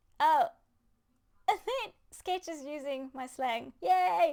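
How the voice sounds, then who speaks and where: A woman speaks with a South African accent. Her pitch makes very wide swings. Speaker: gaming podcast host. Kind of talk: casual chat. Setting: live stream. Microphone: good mic.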